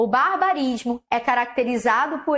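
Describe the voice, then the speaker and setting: A woman in a Carioca accent, high in pitch, with very wide pitch swings. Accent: carioca Brazilian Portuguese. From Rio de Janeiro, Brazil. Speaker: Portuguese language teacher. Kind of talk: online lecture. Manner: laughing at times.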